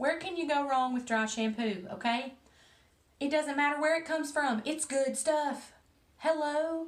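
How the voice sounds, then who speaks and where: Fairly slowly and with ordinary pitch variation, a woman speaks in a high voice. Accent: strong Southern US. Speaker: hairstylist. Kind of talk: casual talk to camera.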